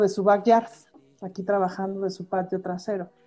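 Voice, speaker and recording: Her voice sits at a medium pitch. There is music playing behind this woman. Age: 40s. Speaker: cabaret performer. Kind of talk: casual interview chat.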